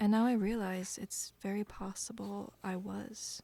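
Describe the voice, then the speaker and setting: Somewhat breathy, with a dark, mellow tone, a woman speaks at a medium pitch in a monotone, flat intonation. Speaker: musician; chronic illness survivor. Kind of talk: personal talk to camera.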